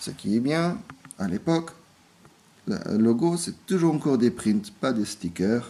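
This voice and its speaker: A man's medium-pitched voice with very wide pitch swings, a very slow pace and long, frequent pauses. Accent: non-native. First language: not French (speaking French). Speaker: toy reviewer. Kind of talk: product review. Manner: halting, many hesitations.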